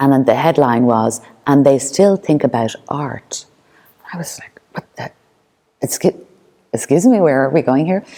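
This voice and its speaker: A woman speaks in a very deep, low voice with a dark, mellow tone. Her loudness swings widely, and she takes long, frequent pauses. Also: ordinary pitch variation, moderate pace. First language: Irish Sign Language. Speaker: performance artist. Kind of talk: artist talk. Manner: halting.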